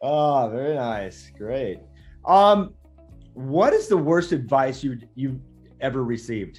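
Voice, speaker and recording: A man at medium pitch and a very slow pace, lively in intonation, with music in the background. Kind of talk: interview host questions.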